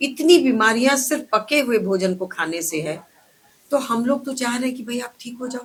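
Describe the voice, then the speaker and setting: Big swings in loudness mark this woman's speech. She speaks at a high pitch with lively intonation. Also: moderate pace. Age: 60s. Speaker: ayurvedic doctor running a clinic. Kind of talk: interview. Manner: animated.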